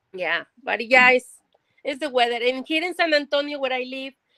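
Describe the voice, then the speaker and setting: A woman with a Mexican accent uses a raised, projected voice with a bright, sharp tone and high pitch, at a moderate pace with ordinary pitch variation, in a dry, close sound with no echo. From Mexico (raised in Monterrey). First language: Spanish. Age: 50s. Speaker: cookie artist. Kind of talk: casual livestream interview. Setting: livestream.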